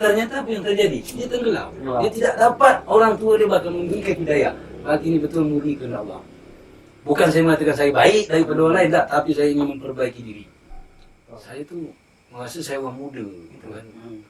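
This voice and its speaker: Against noticeable background noise, a man with a Riau Islands accent talks at a very fast pace in a fairly high pitch with very wide pitch swings. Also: big swings in loudness. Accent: Daik Lingga Malay dialect. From Lingga, Riau Islands, Indonesia. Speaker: MC and folk theatre actor. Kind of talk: podcast interview answer.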